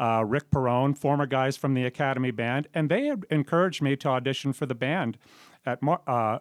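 A man with an American accent talks at a moderate pace in an ordinary speaking voice, with medium pitch and fairly even intonation. The recording is very clean, with a silent background and a dry, close sound with no echo. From Southern California. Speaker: jazz drummer. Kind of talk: radio interview. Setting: radio studio.

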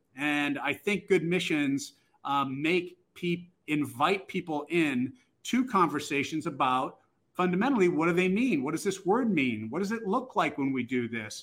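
A man's voice sits high in pitch. His intonation is lively and his pace moderate. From US Northeast (Boston). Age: 60s. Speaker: international school head. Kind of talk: interview conversation. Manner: halting, many fillers and restarts.

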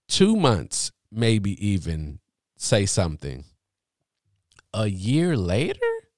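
Very slow male speech at a fairly low pitch, with very wide pitch swings and long, frequent pauses. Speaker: podcast host. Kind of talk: casual chat.

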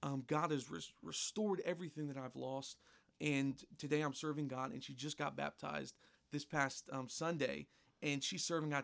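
Speaking at a fairly quick pace, a man uses a normal speaking voice with a fairly high pitch and ordinary pitch variation. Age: 20s. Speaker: pastor. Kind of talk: interview. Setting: church.

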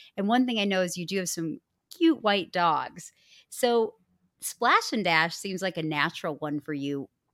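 In a very clean recording with a silent background, a woman with an American accent talks at a moderate pace and medium pitch with lively intonation. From US Midwest. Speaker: franchise consultant podcast host.

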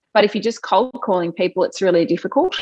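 In an Australian accent, a woman speaks at a medium pitch with lively intonation. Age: 30s. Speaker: TV news presenter. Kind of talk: interview.

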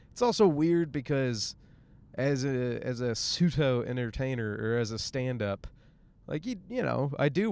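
At a fairly slow pace, a man with a US Midwestern accent speaks at a medium pitch. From Michigan, US Midwest. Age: 30s. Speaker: comedian. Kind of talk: casual monologue. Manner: rambling, casual with fillers.

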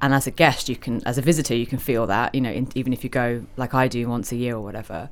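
In a very clean recording with a silent background, a woman with a very deep, low pitch and a London accent speaks at a very fast pace with hardly any pauses and ordinary pitch variation. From London (Covent Garden). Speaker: restaurant owner. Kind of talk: casual chat. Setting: hotel lounge.

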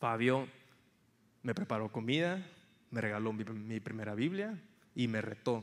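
This man talks at a fairly slow pace with long, frequent pauses, using a medium pitch and ordinary pitch variation. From Mexico, Tampico, Tamaulipas. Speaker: campus missionary. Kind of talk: sermon.

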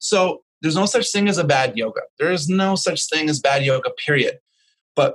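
With a Canadian accent and a plain, everyday voice, a man speaks at a fairly quick pace with ordinary pitch variation in a dry, close sound with no echo. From Vancouver, Canada. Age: 50s. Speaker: yoga teacher. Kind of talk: interview.

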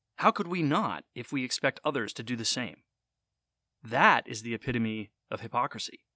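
A man talks at a moderate pace in a bright, sharp tone. The recording is very clean with a silent background, dry and close with no echo. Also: medium pitch for a man, ordinary pitch variation. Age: 30s. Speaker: podcast host. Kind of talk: podcast monologue.

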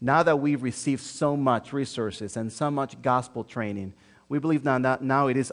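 Speaking with a Spanish accent, a man with a medium pitch keeps a moderate pace against a quiet background. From Dominican Republic, Santo Domingo. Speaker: pastor, church planter. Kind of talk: sermon. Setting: church.

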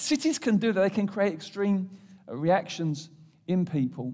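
Speaking in an English accent at a fairly quick pace, a high-pitched man uses lively intonation on a very clean recording with a silent background. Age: 50s. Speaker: pastor. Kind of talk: sermon.

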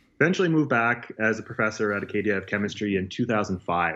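Over a quiet background, a man with a Maritime Canadian accent speaks at a fairly low pitch. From Nova Scotia, Canada. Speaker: university chemist. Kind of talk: interview.

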